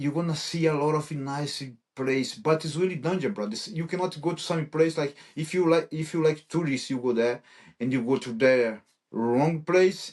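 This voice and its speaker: A man with a Brazilian Portuguese accent, a fairly high pitch, ordinary pitch variation and a moderate pace. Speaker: MMA fighter. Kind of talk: interview. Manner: halting.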